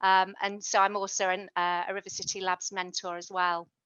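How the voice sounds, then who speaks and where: Here a woman speaks at a moderate pace with a British accent. Her pitch is medium and her intonation fairly even. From UK. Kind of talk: online workshop presentation.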